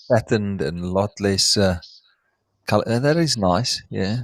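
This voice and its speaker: A man with a South African accent, fairly low in pitch, at a moderate pace, on a very clean recording with a silent background. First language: Afrikaans. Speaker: reptile breeder, live stream host. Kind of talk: live stream chat. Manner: halting, searching for words.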